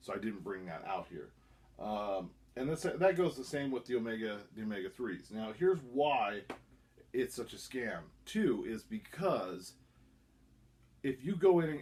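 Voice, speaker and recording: Speaking at a moderate pace, a man holds a medium pitch. His pitch swings very widely. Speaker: YouTuber reviewing supplements. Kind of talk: casual vlog monologue. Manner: halting, self-correcting.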